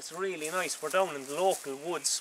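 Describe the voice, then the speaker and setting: Over noticeable background noise, a man in a Cork accent speaks at a moderate pace with ordinary pitch variation. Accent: Cork Irish. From Ireland, Cork City. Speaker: vlogger. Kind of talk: casual vlog monologue. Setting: outdoors in woods. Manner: halting, repetitive.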